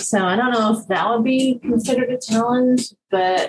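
This woman has an American accent and a somewhat breathy voice. She talks at a moderate pace. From Dallas, Texas. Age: 50s. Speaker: small business owner, florist. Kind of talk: casual interview.

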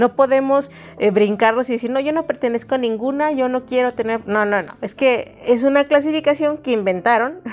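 A woman's high-pitched voice at a fairly quick pace, with hardly any pauses and ordinary pitch variation. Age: 40s. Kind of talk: devotional talk. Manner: conversational.

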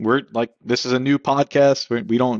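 This man has an unremarkable speaking voice at a medium pitch. He keeps a moderate pace and fairly even intonation. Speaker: podcast co-host. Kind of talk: casual interview. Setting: video call.

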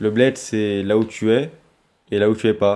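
A man talks in a fairly low pitch. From Bobigny, Paris suburbs. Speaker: interviewee. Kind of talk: personal testimony.

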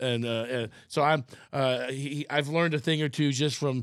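A man speaks in a plain, everyday voice, pitched fairly high with fairly even intonation. His pace is moderate, and the recording is very clean with a silent background. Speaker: podcast host. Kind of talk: casual interview chat. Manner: rambling, repeats words often.

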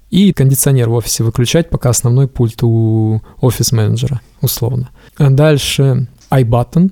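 A somewhat breathy male voice, dark and mellow in tone, with a dry, close sound and no echo. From rural Russia. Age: 30s. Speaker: hardware engineer and startup founder. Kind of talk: casual interview.

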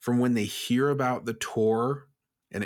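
A man talks at a moderate pace in a plain, everyday voice with fairly even intonation. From Vermont, US. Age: 20s. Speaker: music booking agent. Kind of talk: casual interview.

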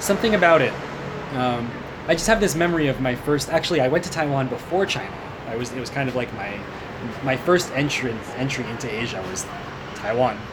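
A man with a Pacific Northwest accent and a medium pitch talks at a fairly quick pace but leaves long, frequent pauses. The recording has noticeable background noise and audible room echo. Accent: General American, Pacific Northwest. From US Pacific Northwest, Seattle. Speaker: improv performer and language learner. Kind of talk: interview.

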